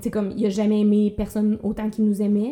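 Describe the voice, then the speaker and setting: The woman's medium-pitched voice has a dark, mellow tone. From Quebec, Abitibi. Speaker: podcast host, comedian. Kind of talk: casual chat.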